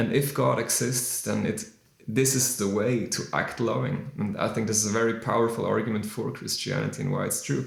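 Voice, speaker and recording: Amid noticeable background noise and audible room echo, a man with a non-native accent speaks at a fairly quick pace, his medium pitch showing ordinary variation. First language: not English. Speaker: musician discussing faith. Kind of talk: casual monologue on faith. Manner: halting, many fillers.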